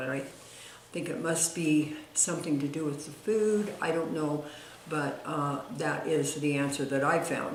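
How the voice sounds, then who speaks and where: Noticeable background noise and audible room echo around a woman with a very deep, low voice. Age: 80s+. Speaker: retired diet author. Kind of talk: personal testimony to camera. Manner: halting, many fillers.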